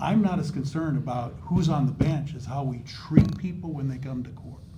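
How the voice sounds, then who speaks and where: In a room with audible echo, a man talks in a fairly high-pitched voice. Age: old. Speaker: judge running for supreme court. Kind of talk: candidate forum answer. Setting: in-person community forum. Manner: animated.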